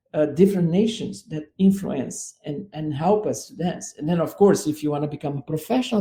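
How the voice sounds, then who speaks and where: Speaking with a Brazilian accent, a man goes at a fairly quick pace in a high pitch. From southern Brazil. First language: Portuguese. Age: 60s. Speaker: dance artistic director. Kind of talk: radio interview. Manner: halting.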